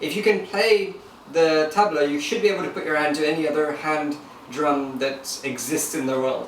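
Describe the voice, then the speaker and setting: With noticeable background noise and audible room echo, a man talks at a moderate pace and a fairly high pitch, using ordinary pitch variation. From Lagos, Nigeria and London. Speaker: musician and online entrepreneur. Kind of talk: interview.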